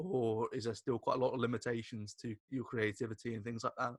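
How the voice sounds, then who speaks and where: Very fast and medium in pitch, a man speaks with a British accent in a dry, close sound with no echo. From Britain. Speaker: podcast host. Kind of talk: interview.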